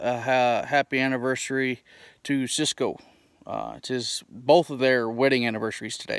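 Against a quiet background, a man speaks at a moderate pace with fairly even intonation and a dry sound with no echo. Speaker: pipe smoking vlogger. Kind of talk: casual vlog chat. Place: open country. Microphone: phone near.

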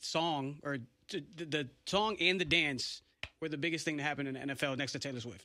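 A man's fairly high voice, bright and sharp in tone, with ordinary pitch variation. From New England. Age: 30s. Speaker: radio host. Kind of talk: casual chat. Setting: studio. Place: studio. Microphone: studio mic.

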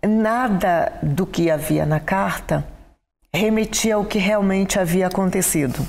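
A woman speaks at a very slow pace with very even loudness. Her pitch moves in an ordinary way. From Brazil, Belém do Pará; Pará, Brazil. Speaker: education professor. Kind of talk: interview. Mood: calm, reflective storytelling. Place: studio. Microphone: lapel.

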